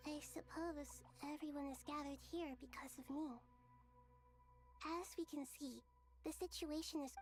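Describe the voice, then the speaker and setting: In a put-on character voice pitched high, the speaker leaves long, frequent pauses while clear music plays in the background. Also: moderate pace. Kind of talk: game voice acting. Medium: video game. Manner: soft, warm, gentle.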